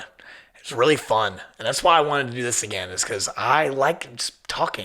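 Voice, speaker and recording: A man with an American accent speaks at a medium pitch and moderate pace, with ordinary pitch variation and noticeable background noise. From southern Ohio. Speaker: podcast host. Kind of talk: casual monologue. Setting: studio in old firehouse. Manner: casual, filler-heavy.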